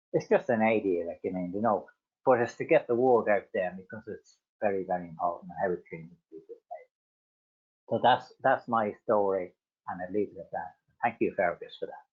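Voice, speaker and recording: A man with an Irish accent talks at a fairly quick pace but leaves long, frequent pauses. His loudness swings a lot. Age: 60s. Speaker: adult literacy learner. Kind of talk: personal testimony. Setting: webinar video call. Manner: halting, repetitive fillers.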